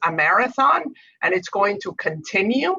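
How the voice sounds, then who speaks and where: With a bright, sharp tone, a woman talks at a moderate pace. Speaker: energy company diversity panelist. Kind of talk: webinar panel discussion.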